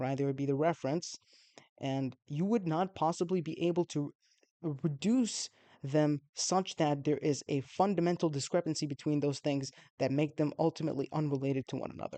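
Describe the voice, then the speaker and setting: The background is quiet. The speech moves at a fairly quick pace. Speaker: YouTube philosophy video maker. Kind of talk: solo video explainer. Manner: fast; halting, many fillers and restarts.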